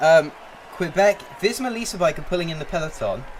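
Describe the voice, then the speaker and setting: A man is talking. Noticeable background noise can be heard behind him. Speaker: gaming streamer. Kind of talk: live commentary. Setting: live stream. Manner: loud.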